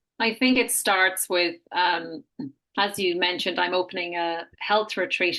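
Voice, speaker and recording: A woman's fairly low pitch and bright, sharp tone with an Irish accent against a quiet background. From Ireland. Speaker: health retreat founder. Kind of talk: interview.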